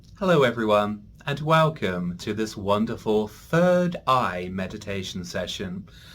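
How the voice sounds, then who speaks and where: A man's fairly low voice with very wide pitch swings and hardly any pauses. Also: fairly slow pace. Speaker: meditation teacher. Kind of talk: guided meditation. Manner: calming.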